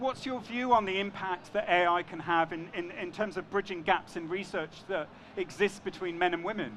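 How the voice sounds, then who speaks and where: A high-pitched man with a London accent talks at a moderate pace with ordinary pitch variation and hardly any pauses, amid noticeable background noise. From London, England. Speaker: panel moderator. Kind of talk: panel discussion. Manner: hesitant, with fillers and repetitions.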